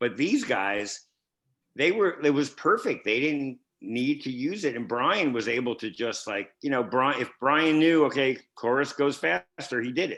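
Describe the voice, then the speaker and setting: An animated tone and lively intonation come through at a fairly slow pace. The background is quiet. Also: man, medium pitch for a man. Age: 60s. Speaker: record producer. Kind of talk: casual chat.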